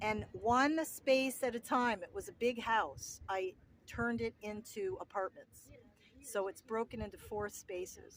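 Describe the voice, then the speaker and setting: The speaker has a New Jersey accent. The pace is fairly slow. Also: woman, fairly high pitch for a woman. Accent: New Jersey American. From US Northeast, New Jersey. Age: 60s. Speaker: home restorer and vlogger. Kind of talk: casual vlog Q and A. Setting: outdoors at the beach.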